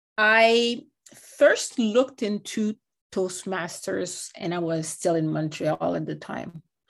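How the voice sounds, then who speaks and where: A woman speaks with a French accent at a very slow pace. Her medium pitch varies in an ordinary way, while her loudness swings widely. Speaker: guest, lawyer and education policy advisor. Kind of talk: interview, conversational.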